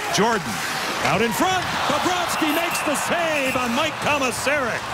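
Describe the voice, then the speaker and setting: Loud background noise surrounds a voice recorded dry with no echo, speaking at a moderate pace. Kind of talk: live commentary.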